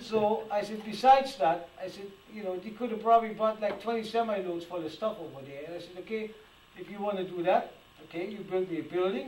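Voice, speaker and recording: A man's high-pitched voice at a fairly quick pace, with ordinary pitch variation, big swings in loudness and noticeable background noise. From Germany. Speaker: antique toy restorer. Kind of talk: public talk with audience Q&A. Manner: animated; repetitive, halting.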